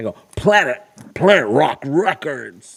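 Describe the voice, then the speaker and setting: A man uses a put-on character voice, fairly high in pitch and delivered at a fairly slow pace. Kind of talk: radio announcer voice.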